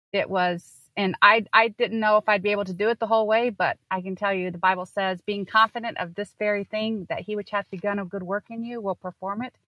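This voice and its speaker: In a dry, close sound with no echo, a woman at medium pitch talks at a fairly quick pace with a bright, sharp tone and fairly even intonation. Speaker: homeschool consultant. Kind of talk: casual chat. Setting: remote recording from a parked car.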